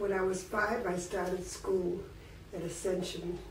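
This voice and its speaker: The speaker has an American accent. Audible room echo and noticeable background noise fill the recording. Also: woman. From Worcester, Massachusetts, US New England. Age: 80s+. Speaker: elderly woman telling her life story. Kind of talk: personal life-history reminiscence. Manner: casual, with hesitations and self-corrections.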